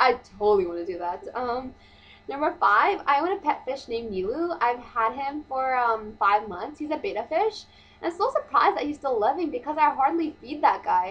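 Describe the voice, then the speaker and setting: A woman speaks loudly at a high pitch. Her pitch swings very widely. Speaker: vlogger. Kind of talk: casual vlog monologue. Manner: fast.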